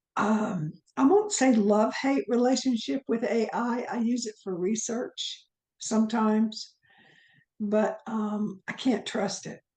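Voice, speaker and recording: Speaking at a very slow pace with long, frequent pauses, a woman has a fairly high, somewhat breathy voice with ordinary pitch variation. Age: 70s. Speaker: author and Egyptology scholar. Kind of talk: casual chat.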